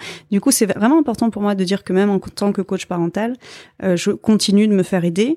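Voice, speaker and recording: Medium in pitch with a dark, mellow tone, a woman speaks fairly quickly with ordinary pitch variation, the sound dry and close with no echo on a very clean recording with a silent background. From France. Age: 30s. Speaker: parenting coach. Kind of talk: interview.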